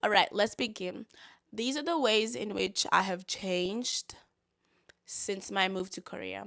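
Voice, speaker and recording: A woman with a medium pitch, vocal fry and a bright, sharp tone speaks fairly slowly with lively intonation. The sound is dry and close with no echo, and the recording is very clean with a silent background. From South Africa. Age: 20s. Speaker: vlogger and English teacher. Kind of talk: casual vlog talk to camera.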